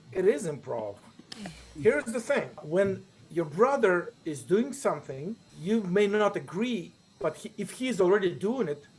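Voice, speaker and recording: A man's high voice with a Ukrainian accent, very wide pitch swings, and a fairly slow pace. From Ukraine. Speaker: improviser and teacher. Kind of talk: interview.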